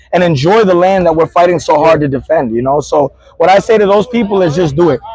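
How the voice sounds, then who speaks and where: Over noticeable background noise, a high-pitched man speaks very fast in an animated, passionate tone with ordinary pitch variation. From New York City, Queens (Queensbridge). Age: 30s. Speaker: Puerto Rican activist and nonprofit founder. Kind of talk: interview. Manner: occasional stutter.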